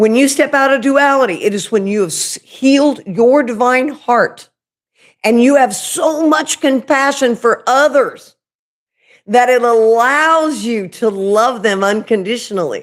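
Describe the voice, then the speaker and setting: In a strong Oklahoma accent, a woman with a high pitch speaks fairly slowly with ordinary pitch variation. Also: very clean recording, silent background. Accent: Oklahoma accent, thick. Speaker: spiritual medium and YouTuber. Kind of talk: livestream spiritual talk. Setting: live video stream. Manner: casual, chatty.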